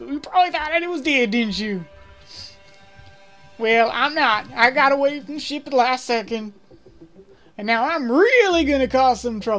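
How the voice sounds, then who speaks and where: In a put-on character voice, a woman talks at a moderate pace and a high pitch while faint music plays in the background. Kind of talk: game commentary. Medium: read story. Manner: gloating, theatrical.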